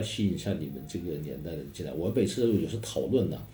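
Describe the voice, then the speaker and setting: A man's dark, mellow voice with vocal fry and very wide pitch swings, very fast, with audible room echo. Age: 40s. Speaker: manager of a renovated cultural district. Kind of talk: interview. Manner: halting.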